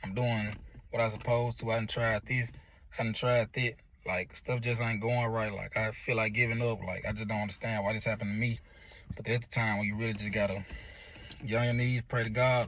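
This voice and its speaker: The recording is very clean with a silent background, as a man at a medium pitch talks at a fairly quick pace in a monotone, flat intonation. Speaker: motivational vlogger. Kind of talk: motivational monologue. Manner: halting.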